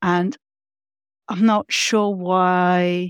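A woman speaks at a medium pitch with a London accent. The sound is dry and close, with no echo. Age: 50s. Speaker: facilitator and consultant. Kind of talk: casual interview.

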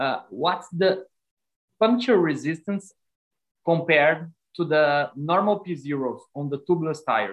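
Long, frequent pauses at a fairly slow pace, with a Brazilian accent. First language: Portuguese. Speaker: cycling podcast co-host. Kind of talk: interview.

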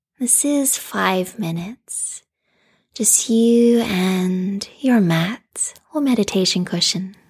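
A woman speaks very slowly at a medium pitch, somewhat breathy, in a soothing, calm tone with ordinary pitch variation. The recording is very clean, with a silent background. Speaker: restorative yoga teacher. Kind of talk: guided meditation. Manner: slow, soothing, calm; soft-spoken, gentle, with long pauses.

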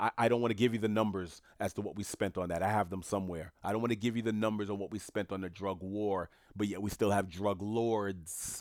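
On a very clean recording with a silent background and a dry, close sound with no echo, a man with a New York accent talks at a fairly quick pace in an animated tone. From New York City, Haitian family. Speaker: solo podcast host. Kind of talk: solo commentary monologue.

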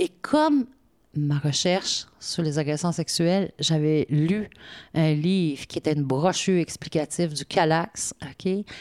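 At a very slow pace, a woman speaks with a very deep, low pitch and ordinary pitch variation, the sound dry and close with no echo. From Quebec, Côte-Nord. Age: 50s. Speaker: municipal director. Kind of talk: interview.

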